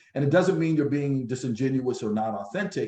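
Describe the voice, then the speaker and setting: A man speaks at a very fast pace and a medium pitch, with ordinary pitch variation. His voice is somewhat breathy, with a dark, mellow tone. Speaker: business coach presenter. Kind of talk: business workshop presentation.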